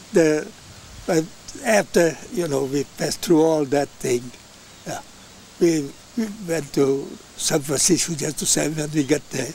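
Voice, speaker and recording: A man with an Italian accent talks at a fairly slow pace, leaving long, frequent pauses. His pitch variation is ordinary, and the dry, echo-free sound carries light background noise. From Italy. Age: 80s+. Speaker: elderly immigrant interviewed by his grandson. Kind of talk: interview answer. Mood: warm, reminiscing. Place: garden.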